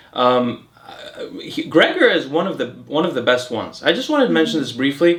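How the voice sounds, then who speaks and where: A man with an American accent at a fairly quick pace, hardly pausing, amid noticeable background noise. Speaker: health and longevity YouTuber. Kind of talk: casual educational chat. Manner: casual with many fillers and restarts.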